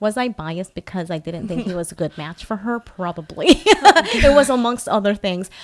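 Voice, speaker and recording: A woman at medium pitch, fairly quick pace and lively intonation, with big swings in loudness, over noticeable background noise. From Philippines. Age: 40s. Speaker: podcast host. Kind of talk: casual chat. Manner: halting.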